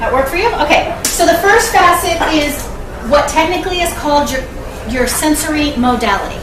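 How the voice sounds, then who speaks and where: With noticeable background noise and audible room echo, a woman talks at a high pitch with lively intonation. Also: moderate pace. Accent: American. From Sacramento, California. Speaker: public speaker and coach. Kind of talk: motivational business talk.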